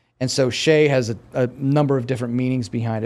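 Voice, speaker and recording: In a very clean recording with a silent background, a man with an American accent and medium pitch speaks at a very fast pace in a monotone, flat intonation. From Erie, Pennsylvania. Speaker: sports agent. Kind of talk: interview. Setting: studio.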